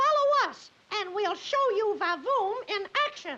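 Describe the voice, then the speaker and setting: An upbeat, cartoonish character voice at an extremely high pitch moves at a fairly slow pace. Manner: cheery, upbeat.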